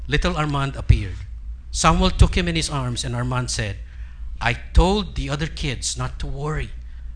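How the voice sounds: The voice reads naturally. It stays a natural reading voice.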